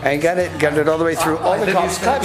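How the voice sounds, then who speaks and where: A man at a high pitch and a very fast pace, with audible room echo and noticeable background noise. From Northern Ireland. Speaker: street performer and dance teacher. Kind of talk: interview. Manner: animated storytelling.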